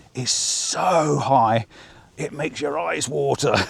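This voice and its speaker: This man speaks at a medium pitch. The background has noticeable noise. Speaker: travel vlogger. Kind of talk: casual vlog narration. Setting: outdoors. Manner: fast; animated.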